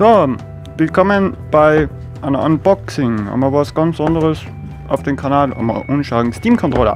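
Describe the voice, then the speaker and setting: Clear music plays in the background. The speaker has an Austrian accent and a fairly slow pace. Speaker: sawmill worker. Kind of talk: casual unboxing talk.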